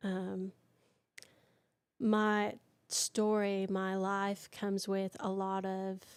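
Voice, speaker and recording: On a very clean recording with a silent background, a woman speaks at medium pitch with a Southern accent. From Michigan, raised in US South. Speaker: country singer. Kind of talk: interview testimony. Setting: live stream interview.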